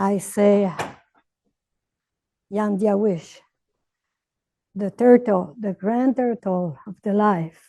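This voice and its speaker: In a Quebec accent, the voice moves at a very slow pace with fairly even intonation. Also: woman. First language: French. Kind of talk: opening ceremony address. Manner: halting.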